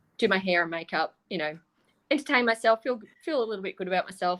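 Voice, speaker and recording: A woman with an Australian accent speaks at a medium pitch and a fairly quick pace. The recording is very clean, with a silent background. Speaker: panelist. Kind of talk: casual chat.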